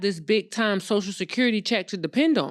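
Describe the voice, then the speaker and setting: In a very clean recording with a silent background, a woman speaks at a moderate pace and medium pitch. Hers is an unremarkable speaking voice with ordinary pitch variation. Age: 40s. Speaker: credit and funding expert, real estate investor. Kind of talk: casual interview.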